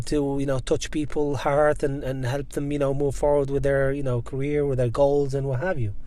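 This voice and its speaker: A man's fairly high-pitched voice comes through with audible room echo. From Algeria. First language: Berber. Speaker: guest sharing immigrant career story. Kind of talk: casual interview chat. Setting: car park in Dublin.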